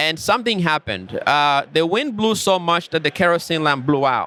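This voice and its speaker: A man with an African accent speaks in a high pitch with a bright, sharp tone. His pace is fairly quick, his pitch varies in an ordinary way, and the sound is dry and close with no echo. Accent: African accent, self-described. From Rwanda. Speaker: tech company founder. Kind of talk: podcast interview.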